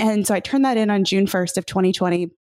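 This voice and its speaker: The speech comes at a fairly quick pace with fairly even intonation, and the sound is dry and close with no echo. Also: woman. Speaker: author and podcaster. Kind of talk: casual interview conversation. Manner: fast talker.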